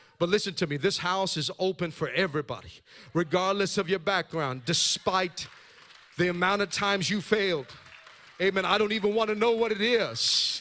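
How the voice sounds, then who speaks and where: Crowd noise behind a man's high, raised, projected voice, animated and bright, sharp in tone, at a moderate pace with ordinary pitch variation. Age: 40s. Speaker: pastor. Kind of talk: sermon. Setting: church.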